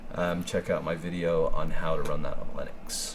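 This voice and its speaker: A man keeps to a moderate pace, with his voice echoing audibly in the room and noticeable background noise behind him. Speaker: photographer. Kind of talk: tutorial. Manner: casual, filler-heavy.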